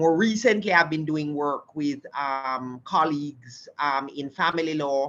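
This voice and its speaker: Speaking at a fairly slow pace with hardly any pauses, a woman with a Caribbean accent uses a very deep, low pitch with ordinary variation. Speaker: law professor. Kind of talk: panel discussion. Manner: hesitant fillers.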